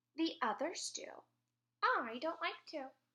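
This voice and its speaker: A woman puts on a character voice, pitched extremely high and delivered at a fairly slow pace. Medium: read story. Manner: prim, dainty.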